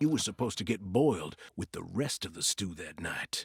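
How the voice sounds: A put-on character voice with vocal fry, a husky, rough edge and big pitch swings comes through with a dry, close sound and no echo. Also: man, low pitch for a man, moderate pace.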